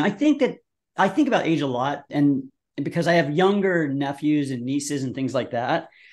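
Against a quiet background, a man with an ordinary speaking voice talks at a moderate pace. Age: 50s. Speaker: brand founder and commercial director. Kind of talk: casual chat.

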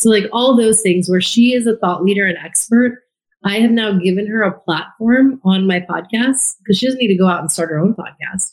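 Somewhat breathy, a woman speaks at a fairly quick pace with a medium pitch and ordinary pitch variation. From US (immigrated from India at age two). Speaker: former TV journalist turned podcaster. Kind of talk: interview conversation.

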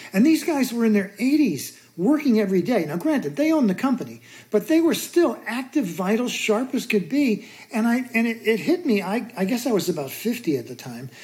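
A woman's fairly high voice, dark and mellow in tone, with vocal fry and very wide pitch swings. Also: moderate pace. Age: 60s. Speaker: author and mountaineer. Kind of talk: casual interview chat.

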